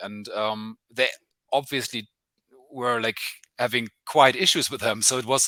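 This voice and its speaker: At a moderate pace, a man with a German accent speaks in a bright, sharp tone, the sound dry and close with no echo. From Germany. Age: 30s. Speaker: journalist. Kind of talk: interview. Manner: halting, many fillers.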